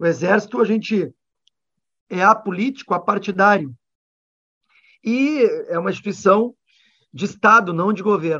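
Using a raised, projected voice, a man with high pitch and ordinary pitch variation talks at a moderate pace with long, frequent pauses. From Rio Grande do Sul, Brazil. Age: 40s. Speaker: politician, former army officer. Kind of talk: radio interview.

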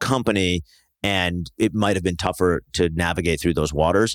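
Recorded very clean against a silent background, with a dry, close sound and no echo, a man with an ordinary speaking voice talks at a fairly quick pace with ordinary pitch variation. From US Northeast, New Jersey. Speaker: startup founder and venture investor. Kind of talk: casual interview.

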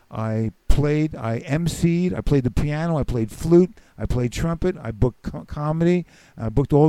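With a New York accent, a man speaks at a moderate pace in a fairly high pitch, his dark, mellow tone carrying lively intonation. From New York City (the Bronx). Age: 70s. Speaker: comedian and musician. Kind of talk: casual chat.

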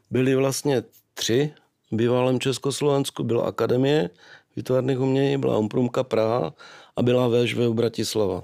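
In a very clean recording with a silent background, a man speaks at medium pitch with a dark, mellow tone, fairly even intonation, very even loudness and a moderate pace. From Czech Republic, Moravia (Nový Jičín area). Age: 50s. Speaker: sculptor. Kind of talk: interview.

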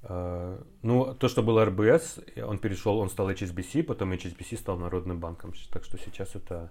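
A man speaks with a very deep, low pitch and a somewhat breathy quality. The recording is very clean, with a silent background. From Kazakhstan, Semey. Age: 30s. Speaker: translator and actor. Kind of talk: casual chat.

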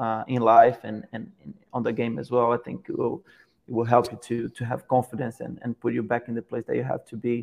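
A man speaks at a fairly quick pace in a medium pitch, his monotone, flat delivery carrying vocal fry. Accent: Portuguese. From Brazil, Petrópolis near Rio de Janeiro. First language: Portuguese. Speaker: professional footballer. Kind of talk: interview. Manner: halting, repeats words.

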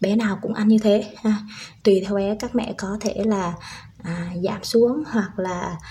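A woman speaks fairly slowly in a fairly high, dark and mellow voice. It is somewhat breathy, with fairly even intonation. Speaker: parenting podcaster, stay-at-home mother, former preschool teacher. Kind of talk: tutorial.

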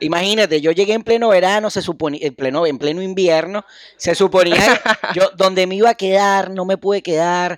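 A man with a Venezuelan accent speaks at a moderate pace with a high pitch and fairly even intonation. The sound is dry and close, with no echo. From Venezuela, Carrizal. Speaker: comedy podcast co-host. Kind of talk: casual comedic chat.

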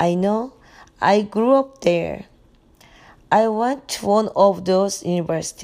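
A woman speaks at a medium pitch in a Korean accent, with a dark, mellow tone and ordinary pitch variation. Her pace is very slow, broken by long, frequent pauses. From South Korea. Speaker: mother, immigrant. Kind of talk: interview answers.

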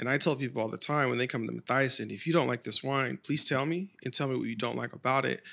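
A man with an American accent speaks at a very fast pace with hardly any pauses, his bright, sharp tone carrying vocal fry at a medium pitch with ordinary pitch variation, on a very clean recording with a silent background. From Sacramento, California. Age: 30s. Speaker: wine educator. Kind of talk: casual chat.

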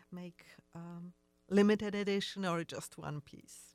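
On a very clean recording with a silent background and a dry, close sound with no echo, a woman with a Polish accent speaks at a fairly low pitch in a monotone, flat intonation. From Poland. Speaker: fashion designer. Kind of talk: interview. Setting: studio. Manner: halting.

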